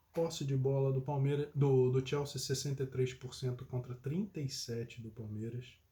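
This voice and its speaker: At a fairly slow pace, a man speaks in a somewhat breathy, medium-pitched voice with a dark, mellow tone and fairly even intonation. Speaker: football commentator. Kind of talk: casual chat.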